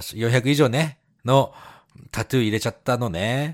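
A man talks at a fairly quick pace with a Japanese accent. The sound is dry and close with no echo, a very clean recording over a silent background. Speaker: podcast co-host. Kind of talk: casual chat.

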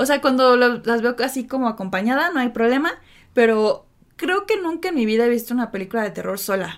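Her voice high-pitched, a woman talks at a fairly quick pace with lively intonation. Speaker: podcast co-host. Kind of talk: casual chat.

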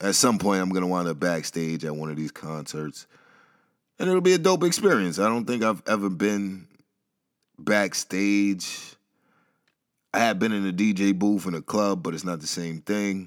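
Long, frequent pauses break up a man's speech at a moderate pace. His pitch is fairly low, with ordinary variation. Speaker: podcast host. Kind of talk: solo monologue podcast. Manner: casual, off the cuff.

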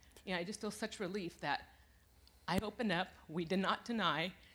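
A woman speaks at a moderate pace. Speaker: congregation member giving testimony. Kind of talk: testimony.

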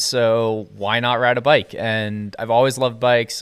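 At a fairly slow pace, a man talks in a normal speaking voice at medium pitch. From US Northeast, southern Maine (York). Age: 20s. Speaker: outdoor adventure photographer. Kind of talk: casual chat. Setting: home garage studio.

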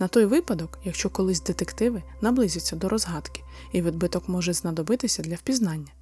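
There is music in the background. A woman talks at a fairly quick pace. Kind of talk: true-crime narration. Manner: formal, scripted-sounding, addresses listeners warmly.

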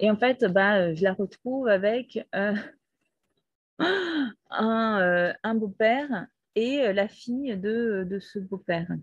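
A woman's fairly high-pitched, somewhat breathy voice with ordinary pitch variation. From Brazil. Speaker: podcaster. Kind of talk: personal testimony. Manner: halting.

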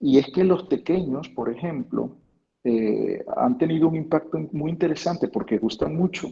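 Vocal fry runs through this man's voice. He speaks at a fairly slow pace with lively intonation. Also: fairly high pitch for a man. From Venezuela, Lara state (Quíbor). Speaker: university professor. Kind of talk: interview. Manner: halting, with many repetitions.

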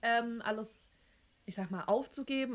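This woman has an unremarkable speaking voice. She talks at a moderate pace with ordinary pitch variation. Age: 30s. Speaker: podcast co-host. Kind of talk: casual chat.

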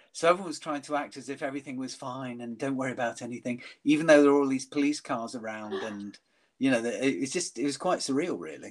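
In a very clean recording with a silent background, a man talks at a very fast pace and medium pitch, with ordinary pitch variation and big swings in loudness. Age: 60s. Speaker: workshop leader. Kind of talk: casual chat. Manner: halting.

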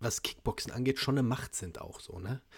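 His voice comes across somewhat breathy. He keeps to a moderate pace. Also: very clean recording, silent background. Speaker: podcast host, martial arts trainer. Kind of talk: casual chat.

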